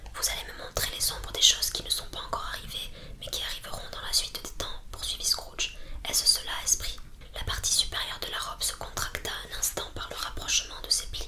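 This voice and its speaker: Over noticeable background noise, the speech comes at a fairly quick pace with monotone, flat intonation. The loudness swings widely. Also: woman, extremely high pitch for a woman. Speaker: ASMR creator. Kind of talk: whispered audiobook reading.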